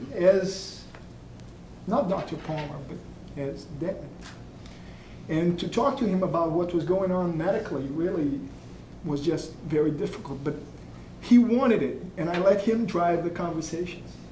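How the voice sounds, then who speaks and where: A man speaks with a high pitch and ordinary pitch variation, leaving long, frequent pauses. Noticeable background noise and audible room echo surround him. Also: moderate pace. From Brazil. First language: Portuguese. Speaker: doctor. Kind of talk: memorial tribute speech.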